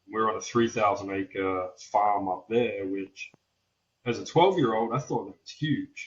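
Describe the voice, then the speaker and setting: With a somewhat breathy voice at medium pitch, a man talks at a fairly slow pace with ordinary pitch variation and big swings in loudness. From Australia. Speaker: welder and metal fabricator. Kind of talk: podcast interview.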